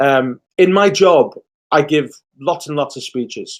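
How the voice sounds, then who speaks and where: With a British accent, a man speaks in a fairly high pitch with ordinary pitch variation. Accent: British accent, remarked on by himself. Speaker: diplomat. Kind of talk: prepared speech. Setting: online video meeting. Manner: fast.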